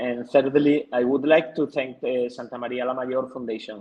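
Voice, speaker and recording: A man talks at a moderate pace in a Spanish accent. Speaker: TV producer. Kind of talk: conference presentation. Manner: halting.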